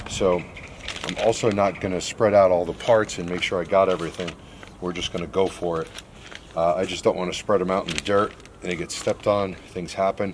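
Over faint background noise, a man speaks at a fairly quick pace in a low pitch with fairly even intonation.

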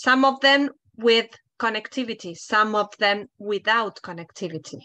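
Against a quiet background, a woman with a Spanish accent speaks in a bright, sharp tone. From Argentina. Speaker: international office head at a university; panelist. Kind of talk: panel discussion. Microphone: video call.

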